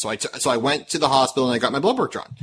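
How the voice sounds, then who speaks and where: Over noticeable background noise, a man talks at a very fast pace. His tone is animated and his pitch fairly high. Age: 30s. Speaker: podcast host. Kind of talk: casual chat. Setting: online call.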